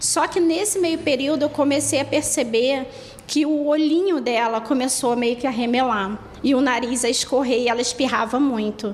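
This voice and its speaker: A woman with a Rio de Janeiro accent, high-pitched, at a moderate pace with ordinary pitch variation, over noticeable background noise. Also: very even loudness. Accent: carioca. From Brazil, Rio de Janeiro. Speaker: dog owner. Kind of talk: testimony.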